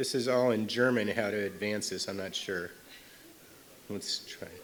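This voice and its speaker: A man speaks in an American accent at a moderate pace, his voice fairly low with fairly even intonation. Room echo is audible. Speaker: paediatric cardiologist. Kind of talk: lecture. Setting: stage with audience. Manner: loud; informal.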